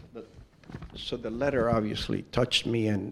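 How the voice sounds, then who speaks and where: A man with an American accent, fairly low in pitch, monotone and flat, with vocal fry, at a moderate pace. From New York, the Bronx. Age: 60s. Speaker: Zen teacher. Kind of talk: dharma talk.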